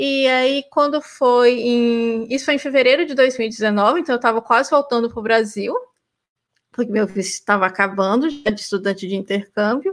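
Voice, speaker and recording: A woman talks in an unremarkable speaking voice, fairly high in pitch, with ordinary pitch variation. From Brazil, Goiás and Rio Grande do Norte. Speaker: PhD student and former university lecturer. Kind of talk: casual interview.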